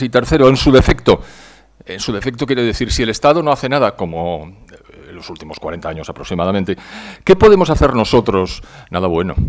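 A man at a medium pitch, very fast pace and very wide pitch swings, against a quiet background. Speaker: economist introducing the speaker; conference presenter. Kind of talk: lecture. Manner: reading from notes. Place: hall. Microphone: podium.

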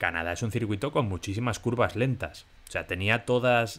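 In an unremarkable speaking voice, a man talks at a moderate pace and medium pitch. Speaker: F1 podcast co-host. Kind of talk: casual chat.

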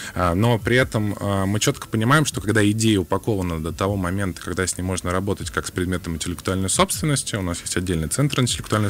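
Noticeable background noise sits behind the voice. The man's pitch is very deep and low. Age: young. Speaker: government innovation agency official. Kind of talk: radio interview. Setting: radio studio.

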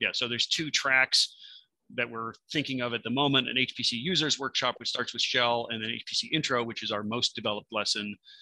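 A man speaks with a bright, sharp tone, the sound dry with no echo against a quiet background. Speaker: presenter. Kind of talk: conference presentation. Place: home room. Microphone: webcam.

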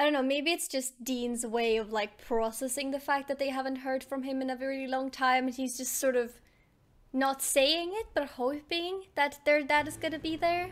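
Against a quiet background, a woman talks at a moderate pace in a high pitch with ordinary pitch variation. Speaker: reaction streamer. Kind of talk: casual reaction commentary. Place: home room. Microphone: studio mic.

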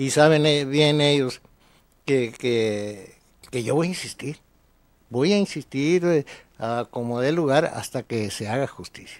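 This man talks at a very slow pace. His speech has long, frequent pauses. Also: ordinary pitch variation, quiet background. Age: 70s. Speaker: lawyer. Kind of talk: interview. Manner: halting. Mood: grave, resigned but determined. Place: studio. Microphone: studio mic.

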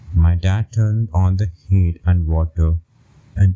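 A man with a very deep, low voice speaks in a serious tone at a fairly slow pace, somewhat breathy and dark, mellow in tone, with fairly even intonation. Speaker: story narrator. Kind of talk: horror story narration, first-person scripted telling. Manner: slow, hushed, suspenseful pacing; serious, measured, building dread.

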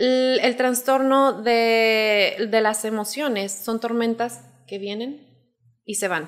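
Delivery is very slow, with fairly even intonation. The background is quiet. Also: woman, fairly high pitch for a woman. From Zacatecas, Mexico. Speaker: life coach; life coach guest. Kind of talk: explanatory talk in casual interview. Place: studio. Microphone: studio mic.

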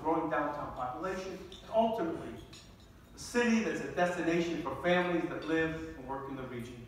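A man at a high pitch, talking very fast amid strong room echo and light background noise. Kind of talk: formal speech. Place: hall. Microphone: pa.

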